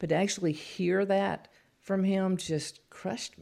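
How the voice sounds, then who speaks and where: With a Southern US accent, a woman of medium pitch speaks at a moderate pace. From Louisiana. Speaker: author. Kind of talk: testimony.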